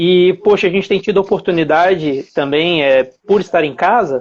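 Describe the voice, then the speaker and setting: Speaking with a Minas Gerais accent, a man uses a high pitch at a moderate pace. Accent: Minas Gerais (mineiro) accent, noticeable. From Brazil, Belo Horizonte (Minas Gerais). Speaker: dentist and implant lecturer. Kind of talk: live-stream lecture. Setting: live stream from home. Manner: hesitant, many fillers.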